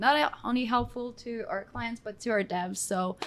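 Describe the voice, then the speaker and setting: A woman's fairly high voice with a slight Australian accent, fairly slow and with ordinary pitch variation, in a very clean recording with a silent background. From Quebec. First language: French. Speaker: account manager. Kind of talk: casual interview on live stream. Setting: live video stream.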